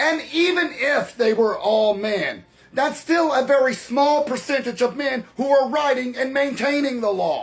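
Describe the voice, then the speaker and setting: Over noticeable background noise, a man with an extremely high pitch speaks at a moderate pace with lively intonation. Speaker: political commentator. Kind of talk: opinion monologue.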